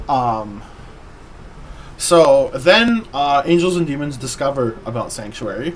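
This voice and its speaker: A man with a fairly high pitch talks at a fairly slow pace, leaving long, frequent pauses. His pitch swings very widely over noticeable background noise. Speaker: vtuber streamer. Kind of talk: casual chat.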